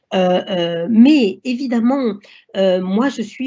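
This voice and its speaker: A woman is speaking. Her intonation is lively. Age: 60s. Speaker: doctor. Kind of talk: lecture. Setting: online seminar. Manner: halting.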